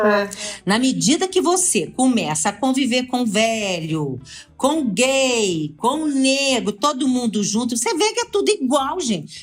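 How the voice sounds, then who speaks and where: Music plays behind a woman speaking at a fairly slow pace. Her high voice makes very wide pitch swings. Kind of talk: casual podcast conversation.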